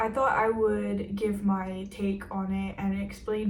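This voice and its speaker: A woman with a fairly high pitch talks amid audible room echo. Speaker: fashion YouTuber. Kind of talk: casual vlog talk to camera. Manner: casual, filler-heavy.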